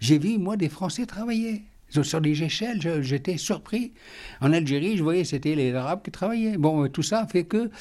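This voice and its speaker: A man with a high pitch and a dark, mellow tone speaks at a moderate pace with lively intonation. The recording is very clean, with a silent background. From Algeria. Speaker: retired educator and interfaith activist. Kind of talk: interview. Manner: halting, many repetitions and hesitations.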